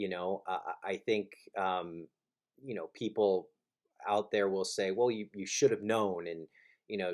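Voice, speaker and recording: A man with an American accent speaks at a moderate pace with fairly even intonation and a fairly low pitch, on a very clean recording with a silent background. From South Florida, Miami. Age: 30s. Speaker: recovery advocate and author. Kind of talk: personal testimony. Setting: recording alone in his room. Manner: halting, many fillers and repeats.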